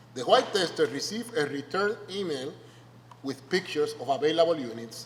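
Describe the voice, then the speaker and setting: Noticeable background noise runs under the voice. The intonation is lively. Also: man. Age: 50s. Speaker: sociology professor. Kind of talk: lecture. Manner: conversational, frequent tag questions.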